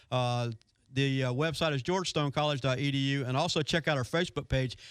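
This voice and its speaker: The man's voice sits at a fairly high pitch with ordinary pitch variation. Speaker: marine technology instructor. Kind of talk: call-in radio show chat. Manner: fast.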